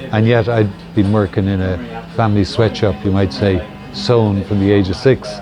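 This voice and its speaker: A fairly low-voiced man with a Dublin accent, over noticeable background noise. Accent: Dublin Irish. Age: 70s. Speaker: hemp shop owner. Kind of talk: interview. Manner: casual, hesitant with fillers.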